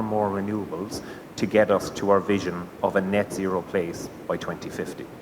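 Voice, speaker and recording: A man's fairly low voice with a Cork accent, monotone and flat, at a moderate pace amid noticeable background noise. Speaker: gas network sales manager. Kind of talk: conference presentation.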